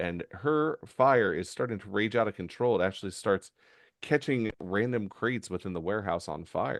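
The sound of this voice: Intonation here is lively. It comes in an unforced reading voice.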